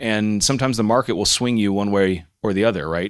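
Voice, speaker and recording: The speaker has an ordinary speaking voice with an American accent. The delivery comes at a moderate pace with fairly even intonation. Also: man, very clean recording, silent background. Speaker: software company CEO. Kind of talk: conference panel talk.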